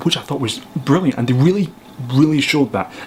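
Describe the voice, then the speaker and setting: A man with a Scottish accent, ordinary pitch variation, and noticeable background noise. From Scotland. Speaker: filmmaker and photographer. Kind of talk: casual film review to camera.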